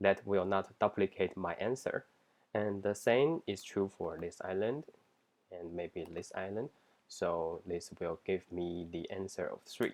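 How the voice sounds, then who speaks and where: With a non-native accent, a man talks at a fairly slow pace in a fairly low pitch, using ordinary pitch variation. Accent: non-native English accent, self-described. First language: not English. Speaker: software engineer job candidate. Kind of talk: mock coding interview, thinking aloud. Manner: halting, with frequent self-corrections and fillers.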